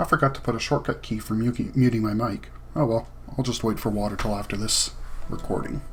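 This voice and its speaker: A man talks at a fairly quick pace and medium pitch. His intonation is fairly even, and his voice is somewhat breathy. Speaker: gaming video creator. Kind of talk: let's play commentary. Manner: fast; casual.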